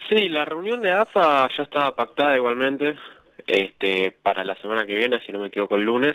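A man speaks at a fairly quick pace with a Rioplatense accent, his medium pitch making very wide swings. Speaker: radio co-host. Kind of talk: radio sports talk show.

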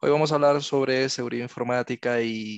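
Against a quiet background, a man talks in an unremarkable speaking voice at a medium pitch, his intonation fairly even and the sound dry and close with no echo. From Venezuela. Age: 30s. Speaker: ethical hacker and cloud specialist. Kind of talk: lecture.

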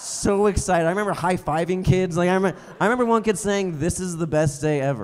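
Very fast speech with ordinary pitch variation, hardly any pauses and music in the background. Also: man, high pitch for a man. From Colorado, Comanche. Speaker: stand-up comedian. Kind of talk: stand-up comedy set. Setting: stage with live audience.

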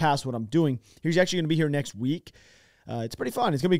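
Over a quiet background, a man talks at a very fast pace with ordinary pitch variation, and the sound is dry with no echo. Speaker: podcast host. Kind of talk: casual podcast chat. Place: studio. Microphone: studio mic.

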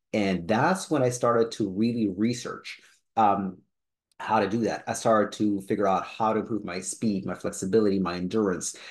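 This is a plain, everyday voice from a man with fairly low pitch. He keeps a moderate pace and ordinary pitch variation. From Israel and Canada (born in Soviet Union). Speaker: personal trainer. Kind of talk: personal story vlog.

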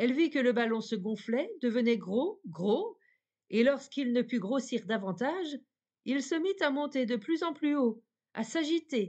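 A woman speaks at a high pitch with a dark, mellow tone and very wide pitch swings. She goes at a fairly slow pace against a quiet background. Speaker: audiobook narrator. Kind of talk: bedtime fairy-tale narration, reading aloud. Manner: calm, soft-spoken, slow and dreamy.

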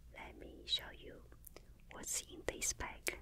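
A woman is whispering. Her pace is very slow. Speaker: ASMR creator. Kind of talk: soft casual show-and-tell. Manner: soft close-mic ASMR speaking. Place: home room. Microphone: studio mic.

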